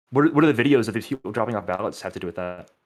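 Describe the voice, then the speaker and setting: This very clean recording, with a silent background, features a man at a medium pitch. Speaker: online debater. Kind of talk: heated debate. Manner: fast.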